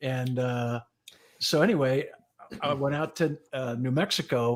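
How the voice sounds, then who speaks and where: Male voice with an American accent. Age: 60s. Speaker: retired fire chief. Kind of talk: casual chat.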